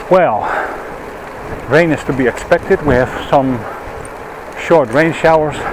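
Heard with noticeable background noise in a dry sound with no echo, a man with a Dutch accent speaks at a fairly slow pace. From Netherlands. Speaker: vlogger. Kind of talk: vlog narration while cycling. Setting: outdoors on a bicycle. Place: bicycle. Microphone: helmet.

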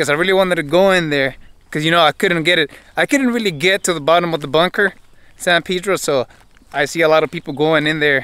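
Bright and sharp, a man's high voice races at a very fast pace with ordinary pitch variation, in a dry recording with no echo. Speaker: explorer vlogger. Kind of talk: casual vlog chat. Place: open country. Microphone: phone near.

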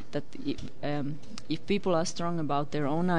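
A woman talks in a very deep, low pitch with fairly even intonation. Light background noise can be heard. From Finland. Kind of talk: interview. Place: studio. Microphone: studio mic.

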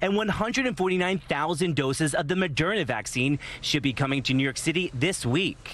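A man with an ordinary speaking voice, fairly high in pitch, with lively intonation, a fairly quick pace, hardly any pauses and a dry sound with no echo. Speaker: TV news reporter. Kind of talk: live TV news report.

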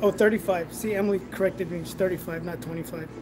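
A man talks with fairly even intonation. Music plays in the background. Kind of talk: casual live stream chat. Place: workshop. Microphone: phone near.

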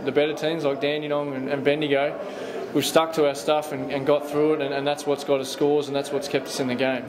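Against noticeable background noise, the speech moves at a fairly quick pace in a monotone, flat intonation. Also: man. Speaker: basketball coach. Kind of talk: interview answer. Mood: disappointed after a loss. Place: hall.

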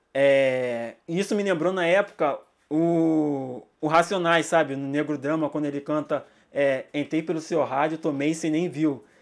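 Against a quiet background, a man with an unremarkable speaking voice talks at a fairly slow pace in a fairly high pitch with fairly even intonation. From Brazil, São Gonçalo (Rio de Janeiro); Rio de Janeiro, Brazil. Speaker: music journalist and social media manager; hip-hop course teacher. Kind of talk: lecture. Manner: casual, slangy. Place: home room. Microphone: studio mic.

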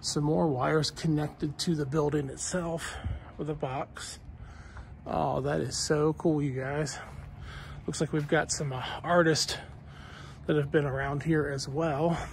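A man speaks at a fairly slow pace in a somewhat breathy, monotone voice with flat intonation and long, frequent pauses. The sound is dry with no echo, over light background noise. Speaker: vlogger. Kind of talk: casual vlog chat. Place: street. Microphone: phone near.

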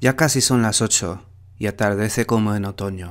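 On a very clean recording with a silent background, a man with an ordinary speaking voice talks fairly slowly at a fairly low pitch with fairly even intonation. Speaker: poetry reader, Spanish instructor. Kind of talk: poetry reading, reading aloud.

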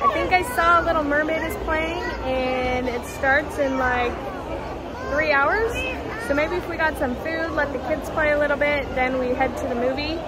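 A woman talks with ordinary pitch variation over crowd noise in the background. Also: moderate pace. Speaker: family travel vlogger. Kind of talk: casual vlog chat. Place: shop. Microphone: phone near.

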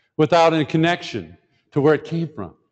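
Talking very fast, a man speaks in an American accent. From Detroit, Michigan, US. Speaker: professor. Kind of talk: conference talk. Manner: conversational, many fillers and restarts.

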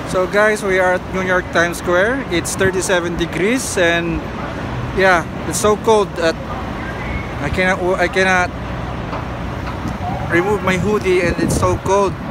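Against noticeable background noise, a man speaks at a fairly slow pace with long, frequent pauses, in a dry sound with no echo. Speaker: vlogger. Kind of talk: casual vlog chat. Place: street. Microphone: phone near.

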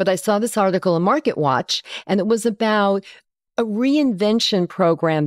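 A woman speaks at a fairly quick pace with lively intonation in a plain, everyday voice. The recording is very clean, with a silent background. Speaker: podcast host. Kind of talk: podcast interview. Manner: friendly, upbeat.

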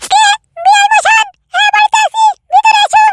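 In a squeaky, cartoonish character voice at an extremely high pitch, the speaker talks at a moderate pace with monotone, flat intonation in a dry, close sound with no echo. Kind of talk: comic village farce.

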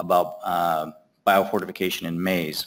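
A fairly slow pace marks this speech. It comes from a man. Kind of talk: lecture. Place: hall.

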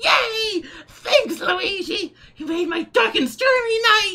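In a put-on character voice, the speaker talks at a fairly slow pace with an extremely high pitch. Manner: cheerful, grateful.

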